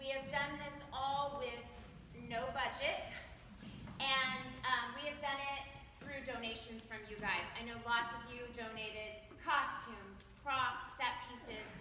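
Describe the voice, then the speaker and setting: Amid noticeable background noise and audible room echo, a woman talks at a fairly slow pace with a high pitch and fairly even intonation. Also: big swings in loudness. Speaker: volunteer school drama director. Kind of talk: speech to audience after a school play. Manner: loud; hesitant, many ums.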